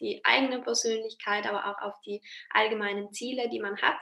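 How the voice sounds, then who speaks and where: A woman's voice, fairly high in pitch, with a bright, sharp tone. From South Tyrol, Italy. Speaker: freelance marketing and branding consultant. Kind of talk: interview.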